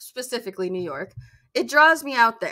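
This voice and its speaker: A woman speaks with an American accent at a high pitch, her intonation lively. Her tone is bright and sharp. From Minnesota, US Midwest. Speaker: streamer and podcast host. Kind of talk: casual solo podcast chat. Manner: conversational, some stumbling.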